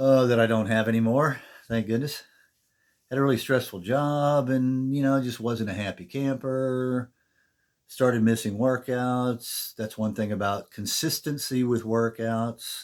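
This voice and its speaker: This man has an ordinary speaking voice at a medium pitch. He speaks at a fairly slow pace with fairly even intonation. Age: 60s. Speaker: fitness vlogger. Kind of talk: casual talk to camera. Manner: conversational.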